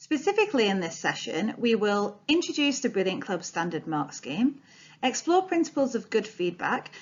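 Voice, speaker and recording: A woman's fairly high voice with a Yorkshire accent, somewhat breathy, with very wide pitch swings at a moderate pace. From Yorkshire, northern England. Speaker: training presenter, former English teacher. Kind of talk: recorded training presentation. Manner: clear, formal.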